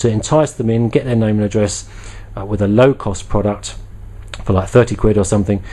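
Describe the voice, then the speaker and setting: Over noticeable background noise, a man with a British accent talks at a fairly quick pace in a fairly low voice with ordinary pitch variation. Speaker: product reviewer. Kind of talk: casual video review. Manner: fast; halting, many fillers.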